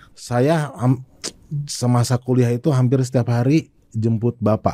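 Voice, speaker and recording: A man with a dark, mellow tone talks at a fairly slow pace and a medium pitch, with fairly even intonation, very even loudness and a dry, close sound with no echo. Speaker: sales expert. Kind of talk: podcast interview. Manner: casual conversational.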